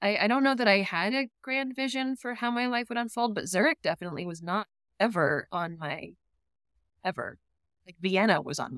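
Speaking with a Midwestern US accent, a woman with a fairly high pitch moves at a fairly quick pace, with lively intonation and big swings in loudness, in a dry, close sound with no echo. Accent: US Midwest. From Ohio, US. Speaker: pharma marketing director. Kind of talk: interview. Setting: video call.

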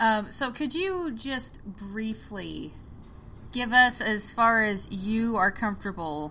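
Very slowly and with a bright, sharp tone, a woman with an American accent speaks at a medium pitch with ordinary pitch variation and audible room echo. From rural Oklahoma. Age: 30s. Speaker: podcast host. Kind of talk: casual chat.

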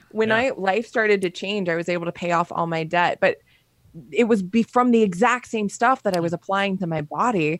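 Using a normal speaking voice, a woman talks at a fairly quick pace and a medium pitch with ordinary variation. The recording is dry and close with no echo. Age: 30s. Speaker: health coach and entrepreneur. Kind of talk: casual chat.

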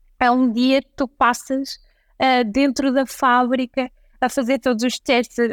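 Over a very clean, silent background, a woman with a high voice speaks at a fairly slow pace in a monotone, flat way, the sound dry and close with no echo. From northern Portugal, Santa Maria da Feira. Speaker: entrepreneur, chocolate company founder. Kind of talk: interview.

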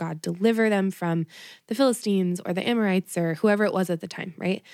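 A very fast pace and dark, mellow tone with fairly even intonation, in a dry, close sound with no echo on a very clean recording with a silent background. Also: woman. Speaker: podcast host. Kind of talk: casual chat. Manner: chatty.

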